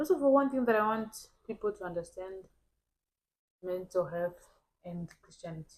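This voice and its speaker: With an African accent, a woman of medium pitch talks at a moderate pace with lively intonation, long and frequent pauses, and big swings in loudness. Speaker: podcast co-host. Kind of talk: casual chat. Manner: halting.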